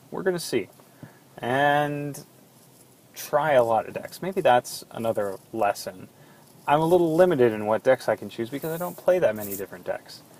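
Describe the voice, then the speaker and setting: A fairly high-pitched man's voice at a moderate pace, with lively intonation, big swings in loudness and noticeable background noise. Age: 20s. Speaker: card game podcast host. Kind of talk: solo monologue podcast.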